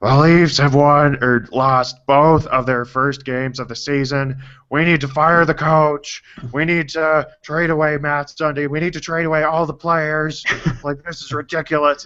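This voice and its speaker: A put-on character voice at a moderate pace, with monotone, flat intonation. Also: man, fairly high pitch for a man. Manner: goofy, mocking, complaining.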